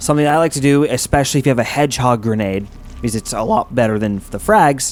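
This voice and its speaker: A man speaking at a very fast pace with ordinary pitch variation, noticeable background noise behind him. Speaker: gaming youtuber. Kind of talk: game walkthrough commentary. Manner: casual, hesitant with fillers.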